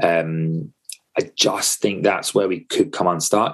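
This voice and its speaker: With a London accent, a man talks at a moderate pace. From England, North London. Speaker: football fan pundit. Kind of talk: casual chat.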